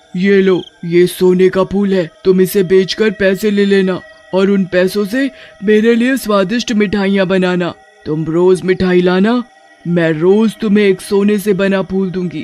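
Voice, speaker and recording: Faint music plays behind a cartoonish character voice. The voice sits at a middle pitch and has a menacing tone. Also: moderate pace. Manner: greedy, menacing.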